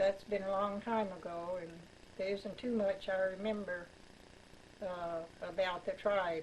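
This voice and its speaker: A woman talks fairly slowly at a medium pitch, with long, frequent pauses and monotone, flat intonation. Background noise is noticeable. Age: 80s+. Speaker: grandmother sharing family history. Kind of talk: oral history interview. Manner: halting.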